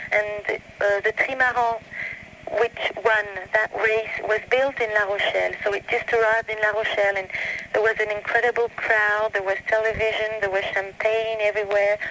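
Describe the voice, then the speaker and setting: A woman with an American accent at a moderate pace, monotone and flat in intonation, amid noticeable background noise. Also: fairly high pitch for a woman, very even loudness. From Canada, Italian family. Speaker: French teacher and interviewer. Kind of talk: interview. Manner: halting.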